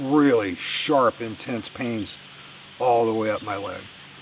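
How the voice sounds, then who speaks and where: A man's fairly slow speech against noticeable background noise. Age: 60s. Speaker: outdoor vlogger. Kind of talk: casual vlog monologue. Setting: outdoors in the woods. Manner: halting, with many fillers.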